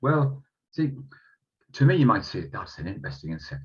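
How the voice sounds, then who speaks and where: A man talks at a very fast pace with a Northeast England accent. His voice is somewhat breathy, with very wide pitch swings. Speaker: entomologist giving a talk. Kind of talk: online lecture. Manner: halting, many fillers.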